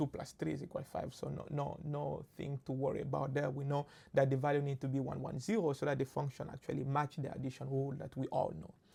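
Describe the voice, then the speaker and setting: A woman's very deep, low voice with a French accent, vocal fry and a dark, mellow tone. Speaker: machine learning instructor. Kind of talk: lecture. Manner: halting, with many fillers.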